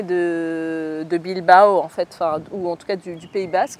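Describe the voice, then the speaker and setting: The recording has a dry, close sound with no echo. The speaker is a woman. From France, of Algerian descent. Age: 30s. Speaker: communications entrepreneur, former journalist. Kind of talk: interview. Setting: podcast recording. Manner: hesitant, many fillers.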